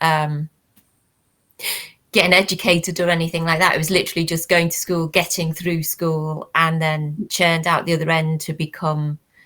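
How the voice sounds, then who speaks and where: At a moderate pace, a woman with a Liverpool accent speaks in a fairly low voice with a bright, sharp tone. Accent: Liverpool (Scouse). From Liverpool, England. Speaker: academic discussing working-class education. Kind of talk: casual panel chat.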